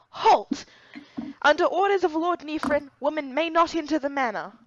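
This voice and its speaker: In a put-on character voice, gruff and high-pitched, the speaker goes at a moderate pace. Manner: stern, commanding.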